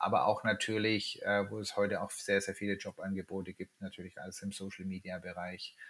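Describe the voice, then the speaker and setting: Talking at a fairly quick pace, a man with a fairly low pitch keeps a monotone, flat intonation, though his loudness swings widely. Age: 50s. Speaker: startup founder. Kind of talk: interview. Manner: hesitant, many filler words.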